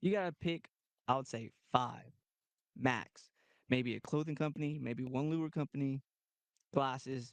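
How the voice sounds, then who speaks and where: In a Texan accent, a man speaks at a moderate pace and a fairly high pitch with ordinary pitch variation and long, frequent pauses, in a dry, close sound with no echo and a quiet background. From Texas (Goliad). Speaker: kayak tournament angler. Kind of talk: casual chat. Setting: studio.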